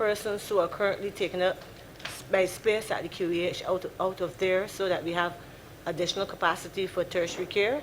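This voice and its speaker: With noticeable background noise behind her, a woman speaks at a medium pitch with fairly even intonation. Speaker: civil servant. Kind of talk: parliamentary answer. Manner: fast.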